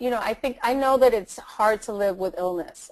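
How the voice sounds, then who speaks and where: A woman speaks fairly quickly, and the background is quiet. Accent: Latin American. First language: Spanish. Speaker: attorney and motivational speaker. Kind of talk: interview. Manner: halting, with fillers and repetitions.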